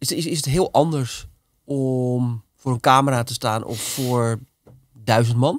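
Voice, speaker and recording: Very slowly and with fairly even intonation, a man speaks in a dry sound with no echo over a quiet background. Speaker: podcast host. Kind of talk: casual interview. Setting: studio. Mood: curious, engaged. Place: studio. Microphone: studio mic.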